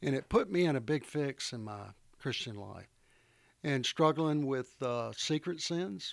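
On a very clean recording with a silent background, a man with a fairly high pitch and a plain, everyday voice speaks at a fairly slow pace with lively intonation. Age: 60s. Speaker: retired company founder and consultant. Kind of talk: interview.

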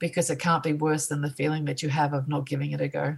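Woman with an Australian accent and a very deep, low pitch, somewhat breathy and monotone, at a fairly quick pace. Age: 50s. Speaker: artist. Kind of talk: casual chat.

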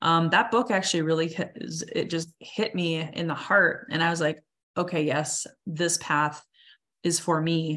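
Fairly low-pitched female voice with a bright, sharp tone, ordinary pitch variation and a fairly slow pace, on a very clean recording with a silent background. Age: 40s. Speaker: coach and speaker. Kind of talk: interview.

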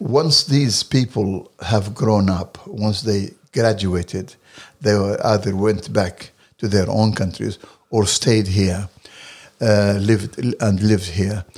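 A man with an Arabic accent, fairly low pitch, ordinary pitch variation, very even loudness and a very slow pace. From Libya. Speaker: translator and political activist. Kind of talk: interview. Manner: hesitant, many fillers.

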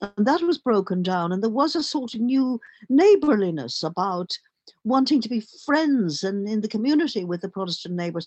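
A woman with a Dublin accent, fairly high in pitch, at a moderate pace with very wide pitch swings. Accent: Dublin Irish. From Ireland, Dublin. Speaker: journalist and playwright. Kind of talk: interview conversation.

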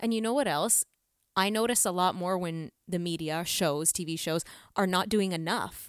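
A woman uses a normal speaking voice at medium pitch with ordinary pitch variation and a moderate pace, on a very clean recording with a silent background. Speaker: podcast host. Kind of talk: casual chat.

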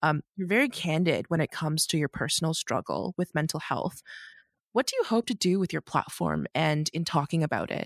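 The speech comes fairly quickly with vocal fry, in a Canadian accent. The sound is dry and close with no echo. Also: woman, very deep, low pitch for a woman, ordinary pitch variation. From Canada, Markham, Ontario. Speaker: podcast host. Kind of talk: interview.

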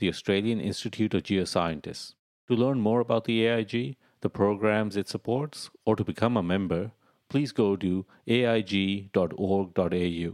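In a very clean recording with a silent background, a man has an ordinary speaking voice at a fairly low pitch. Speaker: podcast host. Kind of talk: scripted intro and outro.

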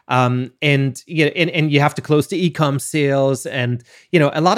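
An unremarkable speaking voice from a man, fairly high in pitch, at a moderate pace in a very clean recording with a silent background. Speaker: podcast host, brand strategist. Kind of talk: casual interview.

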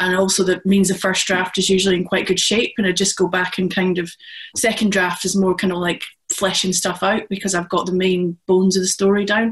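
In a Scottish accent, a woman speaks fairly quickly at a medium pitch, somewhat breathy and with monotone, flat intonation. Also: very even loudness. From Scotland. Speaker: crime author. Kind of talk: panel discussion.

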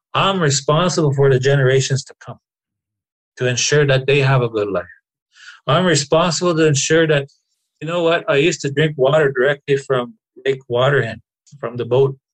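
A man's somewhat breathy, fairly high voice with fairly even intonation, big swings in loudness, and long, frequent pauses. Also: fairly quick pace. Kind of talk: interview conversation.

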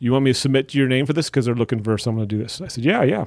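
A man speaks with an American accent. The recording is very clean and the background silent. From Wisconsin. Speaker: stand-up comedian and teacher. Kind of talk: casual chat.

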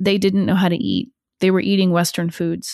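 A woman with an unremarkable speaking voice and an American accent, fairly low in pitch, with fairly even intonation at a moderate pace, in a dry, close sound with no echo and a very clean recording with a silent background. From US Northeast, northern New Jersey. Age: 30s. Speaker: leadership coach. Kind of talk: casual interview chat.

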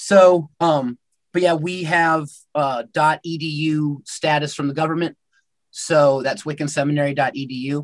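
An unremarkable speaking voice from a man, fairly high in pitch, fairly slow and fairly even in intonation, against a quiet background. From United States. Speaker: pagan priest. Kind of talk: interview.

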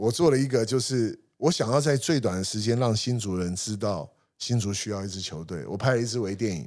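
Here is a man with an ordinary speaking voice at medium pitch. His intonation is lively and his pace fairly quick. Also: hardly any pauses, very clean recording, silent background. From Taiwan, Hsinchu. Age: 50s. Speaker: sports marketing company founder. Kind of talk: interview conversation.

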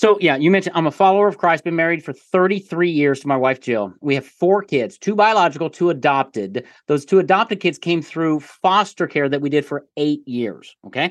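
A man with an American accent, fairly high in pitch, at a fairly quick pace with hardly any pauses and lively intonation against a quiet background. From Little Rock, Arkansas, US South. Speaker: author-services founder, credibility marketing expert. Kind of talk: casual interview conversation. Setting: remote call. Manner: fast talker.

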